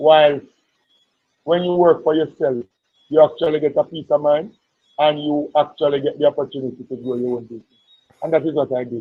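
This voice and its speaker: A loud man with a fairly high pitch and fairly even intonation, at a fairly quick pace with long, frequent pauses. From Jamaica. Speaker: politician and entrepreneur. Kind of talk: interview.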